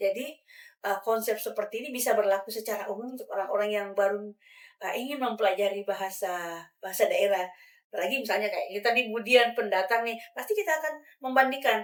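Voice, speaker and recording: This woman's fairly high voice moves at a fairly quick pace with ordinary pitch variation. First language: regional mother tongue, not Indonesian (speaking Indonesian). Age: adult. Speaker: language educator. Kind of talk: podcast discussion. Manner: hesitant with fillers.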